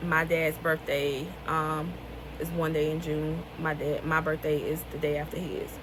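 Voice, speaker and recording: A woman talks at a moderate pace with a Southern US accent, her pitch very deep and low. Her intonation is monotone and flat, with audible room echo and noticeable background noise. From US South, rural North Carolina. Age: 20s. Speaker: author and vlogger. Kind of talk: casual vlog talk.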